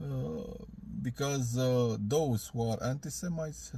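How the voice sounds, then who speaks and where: A man of medium pitch with a Romanian accent, over noticeable background noise. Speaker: video blogger. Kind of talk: video reply. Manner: halting.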